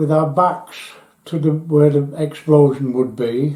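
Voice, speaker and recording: With a Yorkshire accent, a man talks very slowly at a fairly high pitch and with fairly even intonation. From northern England, Yorkshire near Doncaster. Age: 80s+. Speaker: war veteran. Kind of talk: testimony.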